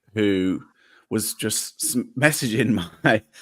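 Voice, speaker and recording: The recording is very clean, the background silent. A man with an English accent speaks at medium pitch with ordinary pitch variation. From England. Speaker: podcaster. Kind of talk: casual chat. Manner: halting.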